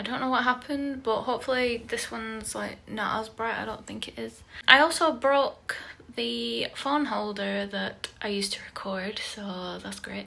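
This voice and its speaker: A woman speaks with a British accent at a moderate pace. Her loudness swings widely. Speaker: artist and video creator. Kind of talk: casual talk-along drawing vlog. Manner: casual, filler words.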